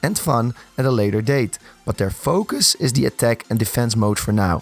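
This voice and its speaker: Music plays in the background as a man at medium pitch speaks at a fairly quick pace with ordinary pitch variation, in a dry, close sound with no echo. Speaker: gaming content creator. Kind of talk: gaming news narration.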